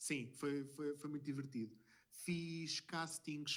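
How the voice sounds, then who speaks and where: This man has a European Portuguese accent. He talks at a very slow pace. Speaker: screenwriter and former ballroom dance teacher. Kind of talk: podcast interview. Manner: hesitant, many fillers.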